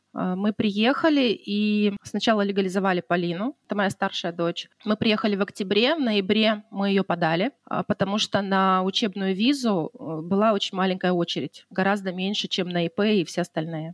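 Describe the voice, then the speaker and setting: An ordinary speaking voice with ordinary pitch variation moves at a moderate pace in a dry, close recording without echo. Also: woman. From Russian Far East, Khabarovsk. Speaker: wedding decorator. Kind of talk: casual interview chat.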